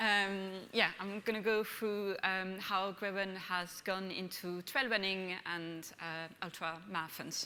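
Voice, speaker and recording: With a bright, sharp tone and fairly even intonation, the voice moves at a very slow pace with hardly any pauses amid audible room echo. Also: woman, medium pitch for a woman. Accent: French. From France. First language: French. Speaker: brand manager. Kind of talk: conference presentation. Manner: hesitant, many fillers.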